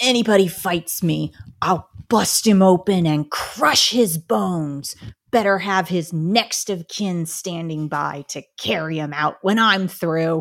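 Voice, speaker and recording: A put-on character voice sits at a middle pitch and moves at a fairly slow pace. The recording is very clean, with a silent background. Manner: dramatic, theatrical.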